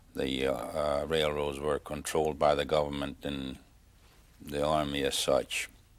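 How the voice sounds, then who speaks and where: With a Hungarian accent, a man speaks at a fairly slow pace in a very deep, low pitch, his intonation flat and monotone with vocal fry. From Hungary, Tokaj area. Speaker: Holocaust survivor. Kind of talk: oral history interview. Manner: halting, many fillers.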